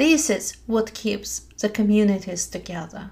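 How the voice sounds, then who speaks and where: Very slowly, a woman speaks in a soothing, gentle tone at medium pitch, with ordinary pitch variation and vocal fry. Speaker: meditation teacher. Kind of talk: guided meditation. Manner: slow, soothing, gentle; calm, soft-spoken, measured.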